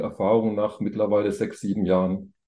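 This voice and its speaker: Fairly quick in pace, a man's dark, mellow voice keeps fairly even intonation. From Thuringia, eastern Germany. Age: 50s. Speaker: business angel investor. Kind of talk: podcast interview.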